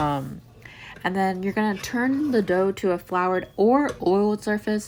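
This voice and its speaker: A woman talks in a plain, everyday voice at a medium pitch. Her pace is moderate and her pitch varies in an ordinary way. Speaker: cooking channel host. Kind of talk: tutorial voice-over. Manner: casual, filler-heavy.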